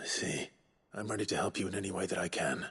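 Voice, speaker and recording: A raspy, put-on character voice from a man, fairly low in pitch, very fast, and very even in loudness. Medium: video game. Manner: steady, earnest.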